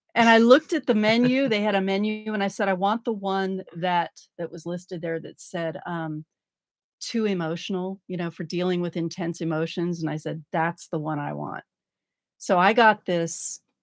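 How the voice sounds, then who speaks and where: A woman with an ordinary speaking voice talks at a moderate pace and medium pitch, with ordinary pitch variation and big swings in loudness. The recording is very clean, with a silent background, and the sound is dry and close with no echo. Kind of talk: casual podcast conversation.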